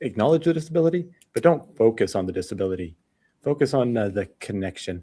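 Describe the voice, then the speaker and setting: With an American accent, a man speaks at a medium pitch in a dark, mellow tone with lively intonation. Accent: American, kept after seven years in Australia. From United States. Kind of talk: radio interview.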